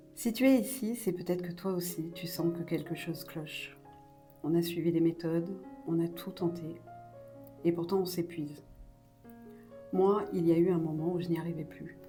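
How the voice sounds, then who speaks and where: With music in the background, a woman speaks in a calm tone at a moderate pace, her fairly low voice keeping fairly even intonation through long, frequent pauses. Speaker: mother. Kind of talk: personal voice-over to viewers. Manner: calm, measured.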